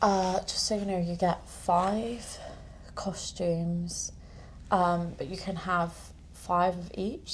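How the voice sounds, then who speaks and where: A woman with a British accent, a fairly low pitch, and a somewhat breathy sound at a very slow pace. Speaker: vlogger. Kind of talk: casual vlog tour. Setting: apartment. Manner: soft-spoken.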